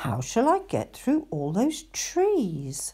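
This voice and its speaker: In a put-on character voice that sounds female, the speaker goes very slowly at a fairly high pitch. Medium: read story. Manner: wistful, gentle.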